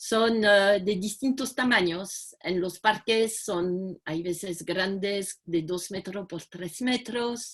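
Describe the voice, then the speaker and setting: Speaking very slowly against a quiet background, a woman with a French accent shows ordinary pitch variation. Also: medium pitch for a woman. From France. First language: French (speaking Spanish). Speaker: community project founder. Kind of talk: video call talk. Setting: video call.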